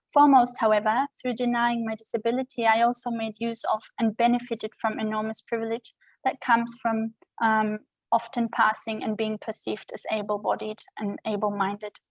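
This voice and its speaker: A woman's fairly high, somewhat breathy voice with a German accent, flat monotone intonation and a fairly quick pace, in a dry, close sound with no echo. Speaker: scholar and activist giving a lecture. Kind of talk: lecture. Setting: video call. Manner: formal.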